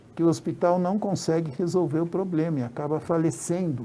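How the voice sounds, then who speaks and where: A dark, mellow tone in a man's fairly high pitch. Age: 60s. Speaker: former local politician. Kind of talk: interview. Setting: studio.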